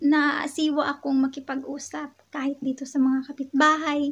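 Her pace is very slow and her pitch high. The woman's intonation stays monotone and flat. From Philippines, Western Visayas (Ilonggo). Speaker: vlogger. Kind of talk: casual vlog talk. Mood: cheerful, smiling. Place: home room. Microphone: phone near.

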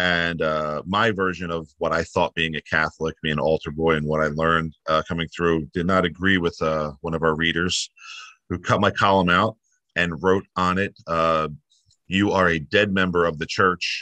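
With an American accent, a man speaks at a moderate pace in a very deep, low voice that is bright and sharp in tone and monotone and flat in intonation, with a dry sound, no echo and a quiet background. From New Jersey. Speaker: newspaper staff member. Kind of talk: interview. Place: home room. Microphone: video call.

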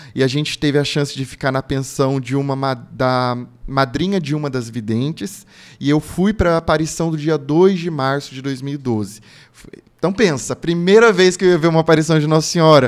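A man's moderately paced speech, with ordinary pitch variation, is set against a quiet background. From Brazil, São Paulo state (Lorena). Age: 30s. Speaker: pilgrim and religious content creator. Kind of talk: casual interview testimony. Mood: earnest, devout storytelling. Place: studio. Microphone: studio mic.

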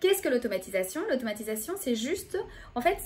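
Her voice high in pitch, a woman speaks with very wide pitch swings. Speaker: speech therapist. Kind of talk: educational talk to camera. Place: home room. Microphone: phone near.

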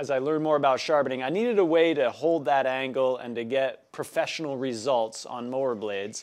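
The setting is quiet. A man talks at a medium pace, his pitch varying in an ordinary way. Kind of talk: casual vlog chat. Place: workshop. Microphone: lapel.

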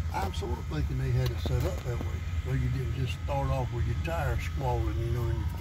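A man's fairly quick speech, dry with no echo, over loud background noise. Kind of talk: casual storytelling chat. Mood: relaxed, nostalgic. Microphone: phone near.

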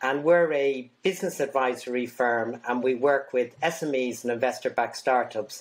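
A man with an Irish accent talks at a fairly slow pace, keeping his intonation fairly even. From Ireland. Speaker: business consultant. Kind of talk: interview. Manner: halting. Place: home room.

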